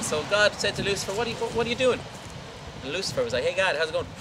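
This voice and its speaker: Over noticeable background noise, a man talks in a playful tone with lively intonation. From Ireland. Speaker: tour guide. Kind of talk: humorous folklore storytelling to a tour group. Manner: playful, comic.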